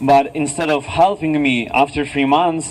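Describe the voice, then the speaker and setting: Noticeable background noise accompanies a man with a Russian accent who speaks at a fairly high pitch and a fairly slow pace with fairly even intonation. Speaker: activist. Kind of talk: rally speech. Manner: halting.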